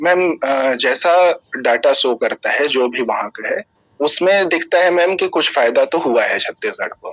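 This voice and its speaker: A man speaks with hardly any pauses. The sound is dry and close, with no echo. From Chhattisgarh, India (Raigarh district). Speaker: civil services interview candidate. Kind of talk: job interview. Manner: formal, hesitant with fillers.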